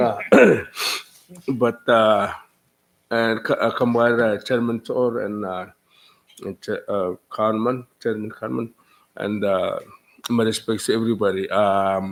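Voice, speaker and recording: A man with a Micronesian accent speaks at a fairly slow pace in a medium pitch. His intonation is monotone and flat, broken by long, frequent pauses. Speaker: legislator. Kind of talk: public hearing testimony. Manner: halting.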